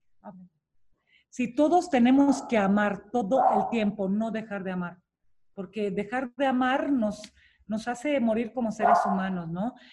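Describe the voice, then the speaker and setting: A woman's fairly high, somewhat breathy voice with a dark, mellow tone, lively intonation and a fairly slow pace. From Romania. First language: Romanian (speaking Spanish). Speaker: public personality interviewed about love and relationships. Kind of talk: interview.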